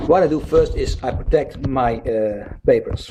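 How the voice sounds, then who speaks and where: A man talks at a fairly slow pace with ordinary pitch variation. He speaks in a Dutch accent. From Netherlands. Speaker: independent researcher, video blogger. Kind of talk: casual video talk explaining a theory.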